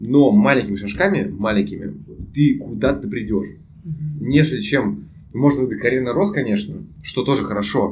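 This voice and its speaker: Vocal fry runs through this man's voice, and there is audible room echo. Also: medium pitch for a man, lively intonation, moderate pace. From Russia, Saint Petersburg. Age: 20s. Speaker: international student and YouTube producer. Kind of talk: casual chat.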